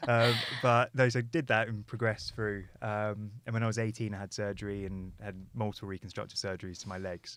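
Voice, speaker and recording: A fairly low-pitched man with a southern English accent, fairly quick and fairly even in intonation. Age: 20s. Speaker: motorcycle content creator. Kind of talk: podcast interview.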